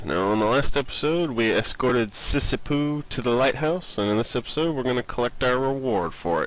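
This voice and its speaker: A man at medium pitch speaks at a fairly quick pace with hardly any pauses and ordinary pitch variation, against noticeable background noise. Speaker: let's play gamer. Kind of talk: casual gameplay commentary.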